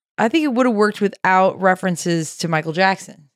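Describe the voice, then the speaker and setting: On a very clean recording with a silent background, a woman with an American accent uses an ordinary speaking voice at medium pitch, moving at a moderate pace with lively intonation. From US South, Nashville, Tennessee. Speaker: comedy producer and podcast co-host. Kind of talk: casual comedic chat.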